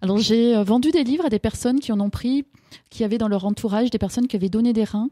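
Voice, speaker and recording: A woman's very fast speech at a fairly high pitch, with ordinary pitch variation, very even loudness and a dry, close sound with no echo. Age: 50s. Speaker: author and holistic practitioner. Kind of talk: radio interview. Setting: radio studio.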